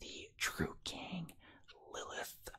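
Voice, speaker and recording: A man is speaking. He whispers throughout. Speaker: ASMR and card game content creator. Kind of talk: casual ASMR pack opening, talking to camera. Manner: casual, conversational, upbeat.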